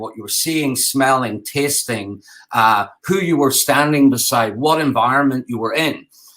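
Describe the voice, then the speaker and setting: In an Irish accent, a man talks at a moderate pace with a bright, sharp tone. His pitch is medium, varying in an ordinary way. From Ireland. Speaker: game designer and architect. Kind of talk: conference talk. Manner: halting, many fillers.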